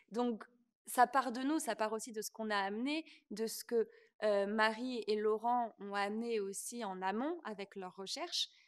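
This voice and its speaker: A woman speaks with an unremarkable speaking voice at a fairly high pitch. Her pace is fairly slow, and her pitch varies in an ordinary way. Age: 20s. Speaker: stage actress and dancer. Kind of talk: interview.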